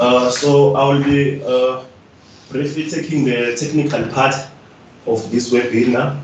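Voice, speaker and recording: A man at medium pitch speaks at a fairly slow pace. The recording has audible room echo and noticeable background noise. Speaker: webinar presenter. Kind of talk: lecture. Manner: halting.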